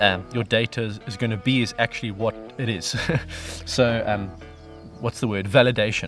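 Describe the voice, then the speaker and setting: Over clear music in the background, a man talks at a fairly quick pace with ordinary pitch variation, in dry sound with no echo. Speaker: vlogger. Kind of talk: casual vlog chat. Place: garden.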